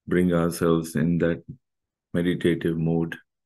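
A man speaks with a very deep, low pitch and fairly even intonation. The background is quiet. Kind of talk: guided meditation instruction. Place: home room. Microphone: webcam.

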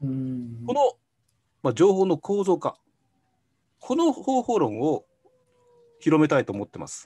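A man speaks at a fairly slow pace in a dark, mellow tone, with very wide pitch swings and big swings in loudness against a quiet background. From Japan. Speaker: consultant. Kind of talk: interview answers. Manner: halting, filler-heavy. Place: home room. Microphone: video call.

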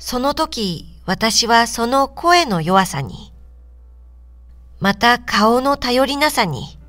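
Music plays in the background as a woman speaks at a very slow pace. Her fairly high pitch makes very wide swings. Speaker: audiobook reader. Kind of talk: literary reading for adults, audiobook narration.

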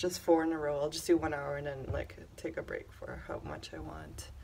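A woman talks at a moderate pace with light background noise behind her. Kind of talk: casual vlog chat. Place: office. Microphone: phone near.

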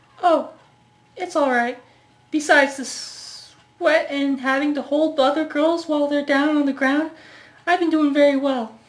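A woman's put-on character voice, high in pitch, monotone and flat, at a moderate pace. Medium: short film. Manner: casual, friendly.

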